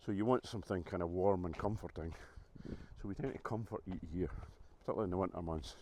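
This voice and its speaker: Very fast and very deep, a man with a Scottish accent speaks in a dark, mellow tone with ordinary pitch variation. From Scotland. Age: 60s. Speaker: vlogger. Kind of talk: casual vlog talk to camera. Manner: hesitant, many fillers.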